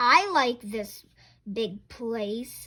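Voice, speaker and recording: A woman puts on a character voice at a fairly high pitch in a very clean recording with a silent background. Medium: read story.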